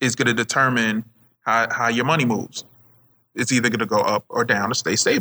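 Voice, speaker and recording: This man has a bright, sharp tone. His loudness stays very even. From Jamaica. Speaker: podcast host. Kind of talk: casual chat.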